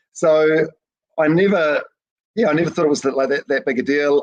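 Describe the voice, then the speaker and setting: A man speaks very fast with a New Zealand accent. His fairly high voice has lively intonation. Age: 40s. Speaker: breakfast radio host. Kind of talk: casual interview chat. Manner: halting, many fillers and repeats.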